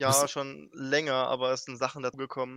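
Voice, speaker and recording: Recorded with a dry, close sound with no echo, a man speaks at a medium pitch. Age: 20s. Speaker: speedrunner and streamer. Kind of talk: casual chat.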